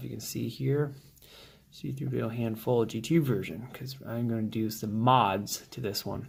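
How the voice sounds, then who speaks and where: Soft-spoken and somewhat breathy, a man talks at medium pitch with ordinary pitch variation. His loudness swings in big ways. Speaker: 3D modeling prop maker. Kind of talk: tutorial. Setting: at home.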